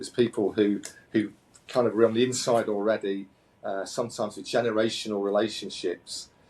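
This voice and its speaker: With a British accent, a man at medium pitch speaks at a fairly quick pace in a monotone, flat intonation. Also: big swings in loudness. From UK. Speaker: company founder and CEO. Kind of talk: interview. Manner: halting, many repetitions and fillers.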